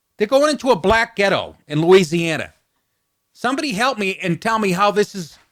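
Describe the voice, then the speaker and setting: Pitched high, a man speaks at a moderate pace with very wide pitch swings. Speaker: stand-up comedian and podcast host. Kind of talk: comedic political commentary podcast rant.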